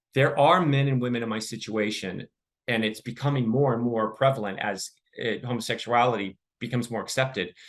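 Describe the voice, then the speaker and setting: Here a man with a Californian accent talks at a fairly quick pace. His pitch is medium and his intonation fairly even. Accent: General American, Californian. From Southern California, Los Angeles suburb. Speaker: podcast guest, author. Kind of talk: interview testimony.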